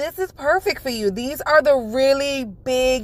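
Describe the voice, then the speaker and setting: A woman's high pitch in a New York accent, animated in tone, at a moderate pace, with a dry, close sound and no echo. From New York (Bronx), Jamaican family. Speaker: nail beauty YouTuber. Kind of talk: product unboxing review. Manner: loud.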